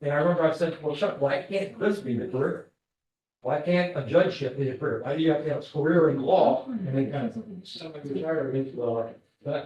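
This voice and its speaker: A man in a normal speaking voice, fairly high in pitch, talks with an American accent at a fairly quick pace with ordinary pitch variation. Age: 60s. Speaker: judge. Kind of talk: casual Q&A talk with visitors. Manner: conversational, with fillers.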